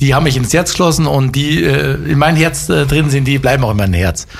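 Audible room echo surrounds the voice. A man speaks in a medium pitch. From Upper Bavaria, Germany. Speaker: former football player and coach. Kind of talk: interview. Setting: studio. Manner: hesitant, many fillers.

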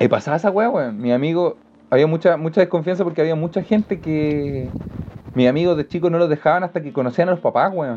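In a Chilean accent, a man speaks at a very fast pace with a high pitch and ordinary pitch variation. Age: 20s. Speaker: stand-up comedian. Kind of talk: casual chat. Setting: studio.

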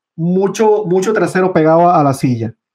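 With a dark, mellow tone, a man talks at a moderate pace in a high pitch, his pitch varying in an ordinary way. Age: 40s. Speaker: trader. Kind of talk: interview.

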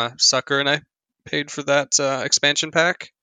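A man speaks in a plain, everyday voice at a moderate pace with fairly even intonation. The sound is dry and close with no echo, over a quiet background. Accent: American. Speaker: video game podcast co-host. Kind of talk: casual chat.

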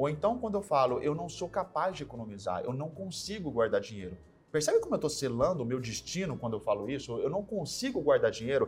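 The speaker rushes at a very fast pace with hardly any pauses. The voice carries vocal fry and very wide pitch swings. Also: man, fairly high pitch for a man. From São Paulo state, Brazil (São José do Rio Preto). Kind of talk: interview. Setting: studio.

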